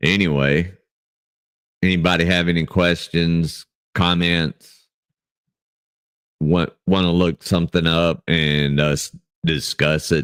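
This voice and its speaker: A man speaks loudly with a very deep, low pitch and monotone intonation. His pace is very slow, broken by long, frequent pauses. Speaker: livestream Bible study host. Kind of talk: casual livestream chat. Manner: speaking louder from natural voice; halting, many fillers.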